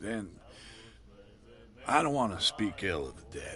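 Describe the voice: A man puts on a character voice that is low-pitched, bright and sharp. He moves at a fairly slow pace with big pitch swings.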